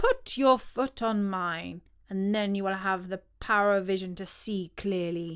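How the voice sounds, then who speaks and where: Put-on character voice from a woman, medium in pitch, at a moderate pace. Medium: read story. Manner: scolding, cross.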